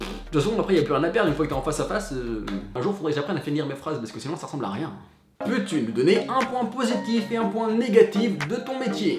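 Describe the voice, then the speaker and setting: A man's high-pitched, animated voice at a very fast pace, with very wide pitch swings, music in the background and audible room echo. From western France (Cholet, Maine-et-Loire). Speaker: entertainment journalist, YouTuber. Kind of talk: casual vlog FAQ.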